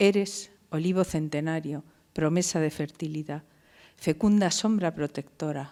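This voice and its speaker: In a very clean recording with a silent background, a woman talks at a fairly slow pace. Her pitch is very deep and low, with ordinary variation. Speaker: university professor. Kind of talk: poetry reading.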